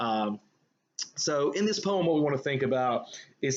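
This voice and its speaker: With a Southern US accent, a man talks at a fairly high pitch. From US South. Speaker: high school English teacher. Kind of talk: lecture. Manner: casual, hesitant with fillers.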